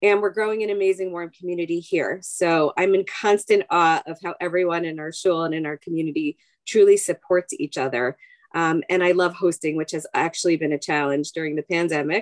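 Fairly quick talk from a woman in a plain, everyday voice, fairly low in pitch with fairly even intonation and an American accent, dry and close with no echo. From US Northeast, Long Island, New York. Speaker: rabbi's wife and psychologist. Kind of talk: interview.

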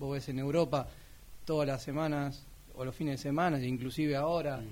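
A man with fairly high pitch and monotone, flat intonation. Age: 20s. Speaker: sports radio panelist. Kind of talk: casual sports talk radio.

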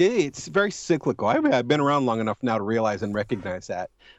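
This is a man's voice. He talks at a very fast pace. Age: 40s. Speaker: horror movie blogger. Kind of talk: casual chat.

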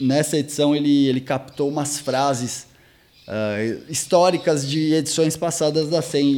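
Fairly high male pitch with ordinary ups and downs. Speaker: skate magazine interviewer. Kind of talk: interview.

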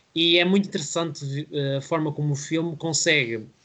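A man with an unremarkable speaking voice, fairly high in pitch, talks at a moderate pace with fairly even intonation against a quiet background. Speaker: film podcast host. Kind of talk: casual film review discussion.

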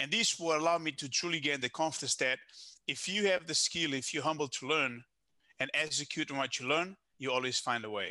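In a Portuguese accent, the voice has a bright, sharp tone and ordinary pitch variation against a quiet background. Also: man, fairly high pitch for a man. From Portugal. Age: 30s. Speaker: business consultant. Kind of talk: casual interview. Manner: halting, self-correcting.

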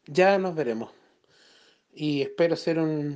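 Against a quiet background, a man with a Chilean accent speaks at a fairly slow pace in a dark, mellow tone, fairly high-pitched for a man, with fairly even intonation. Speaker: spiritual guidance client. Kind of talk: voice message testimony. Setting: phone voice message. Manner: halting. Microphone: cutting out phone line.

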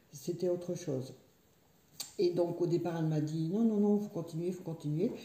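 A woman's fairly low, somewhat breathy voice with a dark, mellow tone, fairly even intonation, and audible room echo. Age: 60s. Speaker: yoga student, stroke survivor. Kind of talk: personal testimony. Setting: her living room. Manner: halting, repetitive.

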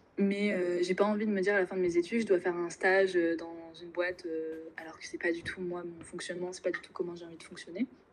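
With hardly any pauses, a woman with a fairly low pitch speaks at a very fast pace in a monotone, flat intonation, her loudness swinging a lot. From Normandy, France. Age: 20s. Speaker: business school student. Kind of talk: casual interview.

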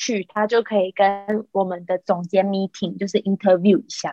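Her delivery is fairly quick. This voice belongs to a woman. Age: 40s. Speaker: podcast co-host. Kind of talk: casual chat. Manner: animated.

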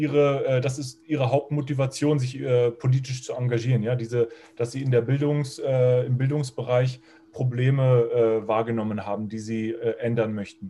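Somewhat breathy, the voice carries a dark, mellow tone. Intonation stays fairly even, and the pace is moderate. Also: man, medium pitch for a man. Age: 40s. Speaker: podcast interviewer. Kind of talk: interview. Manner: halting, many fillers.

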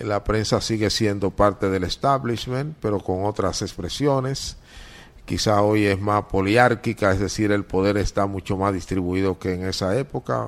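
In an eastern Dominican accent, a man talks at a fairly slow pace in a fairly low voice with ordinary pitch variation. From eastern Dominican Republic (Higüey, La Romana). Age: 60s. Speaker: veteran journalist and newspaper editor. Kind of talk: interview.

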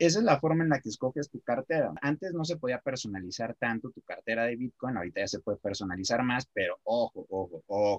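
A man talks at a very fast pace with hardly any pauses and lively intonation. His pitch is medium, and the sound is dry and close with no echo. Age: 20s. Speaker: marketer and web developer. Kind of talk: casual improvised chat.

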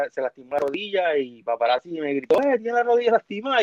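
A man's high voice at a very fast pace, with very wide pitch swings and a dry, close sound with no echo. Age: 40s. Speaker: former wrestling TV personality. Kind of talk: casual interview.

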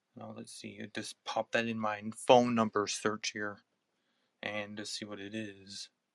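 A man with an American accent speaks at a fairly slow pace, his fairly low pitch flat and monotone. His loudness swings widely in a dry, close sound with no echo. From United States. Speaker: podcast host. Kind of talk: casual chat.

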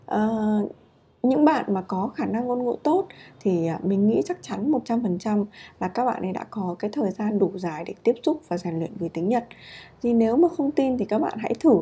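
A woman's somewhat breathy voice, fairly high in pitch with a dark, mellow tone, very wide pitch swings, and a moderate pace. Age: 30s. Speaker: podcast host, japanese learning blogger. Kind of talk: casual solo talk. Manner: hesitant, many fillers.

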